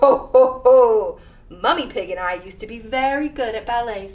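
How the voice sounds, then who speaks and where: A woman's put-on character voice, pitched high. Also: moderate pace. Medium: read story. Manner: jolly, chuckling.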